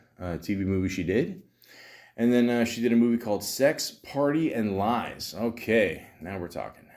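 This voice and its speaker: Lively intonation marks this man's speech. He talks at a moderate pace with a Canadian accent. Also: medium pitch for a man. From Canada. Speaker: podcast host. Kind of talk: casual solo podcast commentary. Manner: halting, many fillers and restarts.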